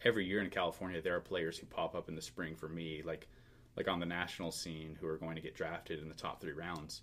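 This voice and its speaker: The speech comes at a very fast pace with monotone, flat intonation. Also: man, very deep, low pitch for a man. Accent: American. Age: 20s. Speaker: baseball draft writer. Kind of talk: casual interview chat.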